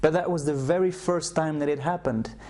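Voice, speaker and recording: A man with a Flemish Belgian accent, a dark, mellow tone and ordinary pitch variation. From Belgium (Flemish, Brussels). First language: Flemish (Dutch). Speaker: self-help program creator. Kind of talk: personal testimony / sales video. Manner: hesitant, with repetitions.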